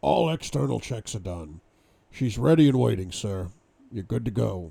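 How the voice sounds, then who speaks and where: In a put-on character voice, a man speaks raspy and gravelly at a very deep, low pitch, with very wide pitch swings at a moderate pace. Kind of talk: respectful, professional.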